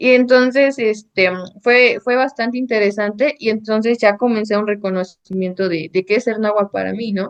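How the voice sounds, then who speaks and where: The speaker uses fairly even intonation with a Mexican accent. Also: woman, fairly high pitch for a woman, moderate pace. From Mexico, Sierra de Zongolica, central Veracruz. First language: Nahuatl (speaking Spanish). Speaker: architect and painter. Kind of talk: interview conversation. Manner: hesitant, many fillers.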